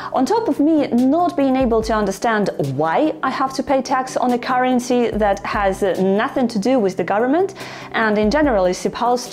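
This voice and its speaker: With noticeable background noise behind her, a woman with a non-native accent speaks at a moderate pace in a fairly high voice with very wide pitch swings. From Ukraine. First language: not English. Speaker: finance YouTuber. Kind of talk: tutorial.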